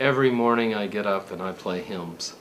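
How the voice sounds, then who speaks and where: A man with an American accent talks at a medium pitch in a normal speaking voice. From Texas (San Antonio). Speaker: author and music educator. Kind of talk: interview.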